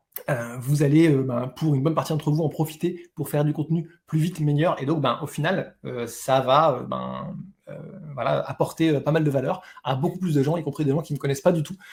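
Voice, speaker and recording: Fairly quick speech comes from a man with a fairly high pitch. His voice is somewhat breathy. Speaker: webinar host selling an online course. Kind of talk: live webinar sales pitch. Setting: live online webinar. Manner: fast; enthusiastic, many filler words.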